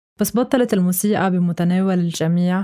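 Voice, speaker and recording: In a very clean recording with a silent background, a woman with a dark, mellow tone speaks at a moderate pace and medium pitch, her intonation fairly even. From Lebanon, Beirut. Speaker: music critic and writer. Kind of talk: scripted narration.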